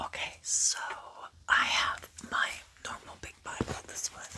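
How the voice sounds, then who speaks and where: Very slowly, a woman whispers while clear background noise runs underneath. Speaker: ASMR creator. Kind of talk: ASMR chat before bible reading. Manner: whispering; close to the mic.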